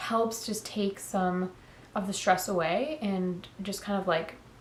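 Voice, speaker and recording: A somewhat breathy woman's voice at a fairly slow pace, with ordinary pitch variation and audible room echo. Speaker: lifestyle vlogger. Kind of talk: casual sit-down talk to camera. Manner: casual, filler-heavy.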